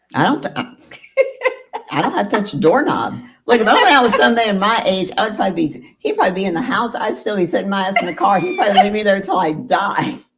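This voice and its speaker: A woman at medium pitch, very fast and animated, with very wide pitch swings and vocal fry. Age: 50s. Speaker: podcast host. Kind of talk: casual chat.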